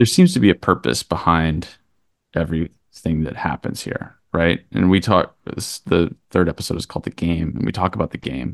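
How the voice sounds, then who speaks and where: A man speaks at a moderate pace with a very deep, low pitch, vocal fry and ordinary pitch variation. The sound is dry and close, with no echo. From Kentucky. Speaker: documentary director. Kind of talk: interview.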